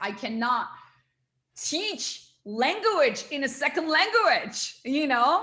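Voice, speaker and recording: Raising and projecting her voice, a woman with a Turkish accent speaks at a high pitch with very wide pitch swings. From small town in Turkey. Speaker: NLP coach and trainer. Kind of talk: interview. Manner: animated.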